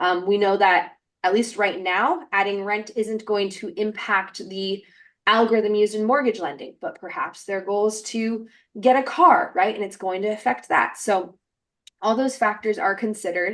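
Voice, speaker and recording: Nothing is heard in the background. The voice rises and falls in a lively way. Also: woman, fairly high pitch for a woman. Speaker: webinar presenter. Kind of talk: webinar presentation. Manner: fast.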